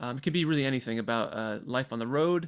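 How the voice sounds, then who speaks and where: Speaking very fast with an American accent, a man uses a medium pitch and ordinary pitch variation on a very clean recording with a silent background. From Michigan, US. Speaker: professional choral singer and workshop presenter. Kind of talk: pre-recorded workshop lecture.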